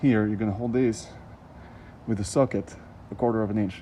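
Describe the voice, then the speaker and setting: This man speaks with a non-native accent in a dark, mellow tone, his pitch fairly low and his intonation fairly even. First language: not English. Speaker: DIY car repair vlogger. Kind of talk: tutorial. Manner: halting; hurried.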